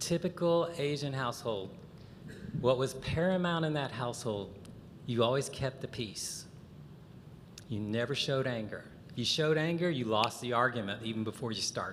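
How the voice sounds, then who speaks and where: A man with an American accent speaks at a medium pitch with lively intonation and long, frequent pauses, and the room echo is audible. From US South, Chattanooga, Tennessee. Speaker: conference speaker. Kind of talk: lecture. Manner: animated.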